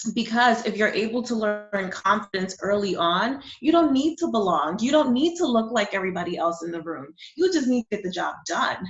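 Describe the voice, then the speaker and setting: A woman with a New York accent talks at a fairly high pitch and a fairly quick pace, her pitch swinging very widely, with hardly any pauses. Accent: New York American English. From New York City, born in Honduras. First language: Spanish. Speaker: digital marketing coach and business founder. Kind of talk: interview conversation.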